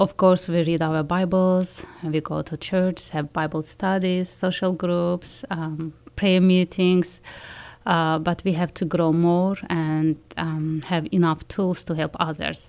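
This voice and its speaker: A woman with a non-native accent talks at a very slow pace with a fairly low pitch. Her intonation is monotone and flat, on a very clean recording with a silent background. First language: not English. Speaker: school psychologist and educator. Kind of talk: testimony. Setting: studio. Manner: halting.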